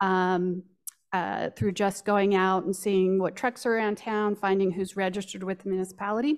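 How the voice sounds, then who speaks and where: The setting is quiet. A woman talks at a moderate pace. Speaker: nonprofit executive director; presenter. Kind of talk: welcome remarks. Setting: stage with audience. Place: hall. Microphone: podium.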